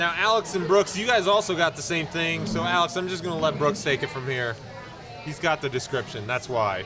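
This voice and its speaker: Music plays in the background and the room echo is audible. A man with a fairly high pitch talks at a fairly quick pace with lively intonation. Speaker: podcast host. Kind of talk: casual chat. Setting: brewery tap room. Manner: loud.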